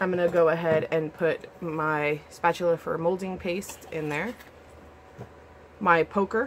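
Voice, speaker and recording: Over noticeable background noise, a woman speaks at a fairly slow pace with long, frequent pauses. Her pitch is fairly low and her intonation fairly even. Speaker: craft video creator. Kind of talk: casual pack-with-me tutorial. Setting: home craft room.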